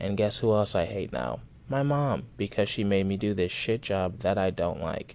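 With an ordinary speaking voice, a man talks at a moderate pace. His pitch is fairly low and his intonation lively. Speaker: podcast host. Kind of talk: casual profane rant-style monologue. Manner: rambling, digressive, self-interrupting; blunt, sarcastic, heated, angrily ranting with swearing.

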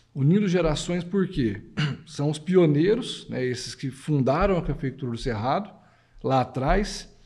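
Lively intonation from a man with a fairly high pitch and a dark, mellow tone, at a fairly slow pace, with audible room echo. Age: 40s. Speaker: coffee growers' federation executive. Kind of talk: casual chat. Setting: studio.

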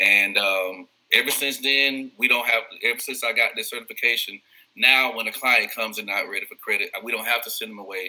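The loudness of this man's voice rises and falls sharply. He speaks fairly quickly. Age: 40s. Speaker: credit repair consultant and former teacher. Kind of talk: podcast interview. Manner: repeats words when starting sentences.

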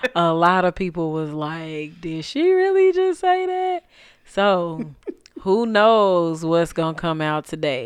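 This woman has a plain, everyday voice, pitched fairly low, with ordinary pitch variation and a fairly slow pace. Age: 30s. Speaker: podcast host. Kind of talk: casual chat.

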